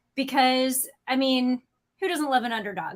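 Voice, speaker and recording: At a moderate pace, a woman with a Chicago accent speaks at a high pitch. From US Midwest, St. Louis. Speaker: automotive YouTube co-host and editor. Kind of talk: casual livestream chat.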